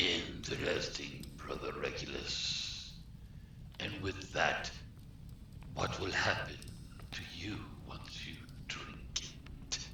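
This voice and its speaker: Whispering in a put-on character voice, someone speaks at a very slow pace with long, frequent pauses over loud background noise. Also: man. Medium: machinima. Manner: sly, mocking.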